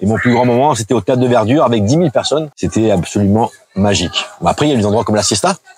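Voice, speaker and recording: A man's medium-pitched voice at a very fast pace, with lively intonation and very even loudness, dry and close with no echo, over noticeable background noise. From southern France, Antibes/Juan-les-Pins. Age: 50s. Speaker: DJ and bar owner. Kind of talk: casual interview.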